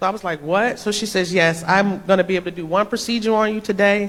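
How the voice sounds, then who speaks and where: An animated woman talks at a very fast pace. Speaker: church speaker giving testimony. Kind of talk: testimony. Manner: occasional misspeaking; animated storytelling.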